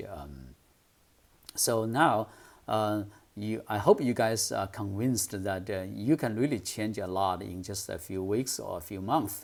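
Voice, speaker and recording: On a very clean recording with a silent background, a man with a Chinese accent and a fairly low pitch talks at a fairly slow pace, with ordinary pitch variation and big swings in loudness. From China. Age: 50s. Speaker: English speaking coach. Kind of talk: tutorial. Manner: hesitant, many fillers.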